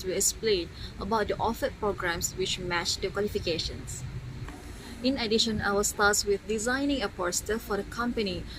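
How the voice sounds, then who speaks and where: A woman's medium-pitched voice with a Malaysian accent, fairly even intonation and a moderate pace, over noticeable background noise. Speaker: university student intern. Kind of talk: vlog narration.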